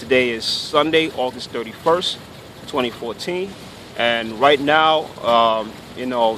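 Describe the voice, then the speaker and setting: A man speaks at a medium pitch. Background noise is noticeable. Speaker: Hebrew Israelite commentator. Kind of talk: rant to camera. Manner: stuttering, tripping over words.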